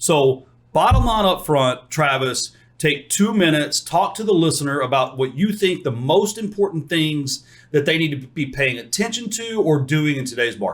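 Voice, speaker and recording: Somewhat breathy and fairly high, a man's voice moves at a moderate pace with lively intonation in an American accent. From Texas. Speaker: podcast host. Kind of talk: interview; scripted intro.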